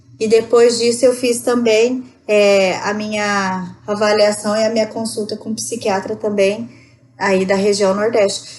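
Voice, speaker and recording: Her voice is an unremarkable speaking voice, fairly high in pitch for a woman. She speaks at a fairly slow pace with fairly even intonation. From Rondônia, northern Brazil. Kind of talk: podcast interview answer. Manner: conversational.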